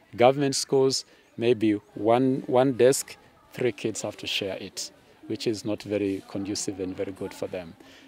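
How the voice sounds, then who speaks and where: A man's dark, mellow tone at a moderate pace, with ordinary pitch variation and a dry sound with no echo. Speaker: secondary school teacher. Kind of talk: interview answer. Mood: friendly, smiling, explanatory. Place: open country.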